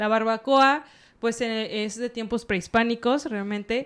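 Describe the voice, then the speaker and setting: A woman's normal speaking voice at a moderate pace, with ordinary pitch variation. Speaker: podcast co-host. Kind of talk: casual chat. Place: studio. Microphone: studio mic.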